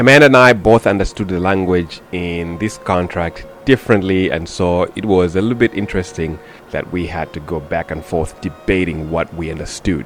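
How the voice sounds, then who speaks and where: A man with a non-native accent speaks at a very deep, low pitch and a moderate pace, with hardly any pauses. His pitch variation is ordinary, and there is noticeable background noise. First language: not English. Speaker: parent vlogger. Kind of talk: scripted narration.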